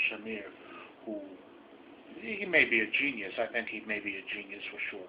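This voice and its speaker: A man speaks with a New York accent over noticeable background noise. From New York City. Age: old. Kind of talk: casual talk to camera.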